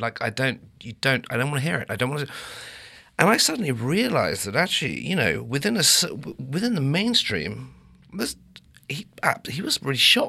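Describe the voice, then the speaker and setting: Fairly quick speech from a man in an English accent. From England. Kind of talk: casual chat.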